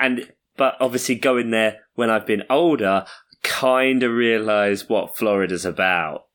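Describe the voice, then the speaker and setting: A man with an English accent speaks at a fairly slow pace and medium pitch, with ordinary pitch variation and very even loudness. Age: 20s. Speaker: podcast co-host. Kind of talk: casual chat.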